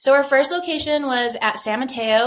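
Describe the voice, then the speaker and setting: Noticeable background noise around a woman's moderate pace. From New Mexico, Rio Rancho. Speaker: brewery co-owner and operations executive. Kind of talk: casual interview.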